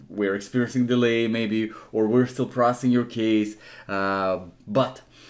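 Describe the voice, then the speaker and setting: A man's monotone, flat intonation at a fairly slow pace. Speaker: immigration help channel host. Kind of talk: tutorial.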